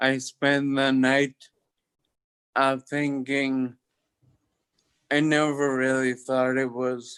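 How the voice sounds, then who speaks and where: A man with an American accent at a very slow pace, his intonation monotone and flat. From US Northeast, Boston area. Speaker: locked-in syndrome survivor, former chef. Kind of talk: interview testimony. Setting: livestreamed video call.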